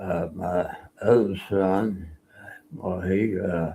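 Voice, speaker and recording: A man speaks with an Oklahoma accent. His pitch is very deep and low. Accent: Oklahoma Southern US. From Oklahoma, US. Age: 80s+. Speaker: Navy veteran. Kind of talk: interview, life story. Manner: halting, many fillers.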